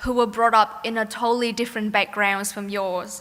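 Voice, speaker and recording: With a Vietnamese accent, a woman speaks in a fairly high, bright, sharp voice with fairly even intonation. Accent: Vietnamese accent, non-Australian. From Vietnam, Ho Chi Minh City. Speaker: graduating student, valedictorian. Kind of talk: graduation speech. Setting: stage with audience. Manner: formal.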